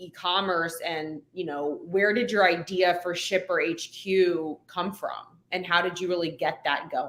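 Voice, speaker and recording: In an unremarkable speaking voice, a woman with an American accent talks at a medium pitch and a fairly slow pace. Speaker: podcast host. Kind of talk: interview. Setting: live video stream.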